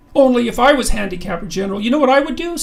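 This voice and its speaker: In a put-on character voice, someone talks very fast at a fairly high pitch. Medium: read story. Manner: homespun, folksy.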